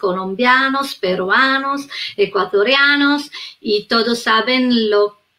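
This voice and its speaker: A woman's high-pitched voice at a very slow pace, with an Italian accent and ordinary pitch variation. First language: Italian (speaking Spanish). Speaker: psychotherapist, researcher. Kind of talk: live online interview. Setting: live stream on social media.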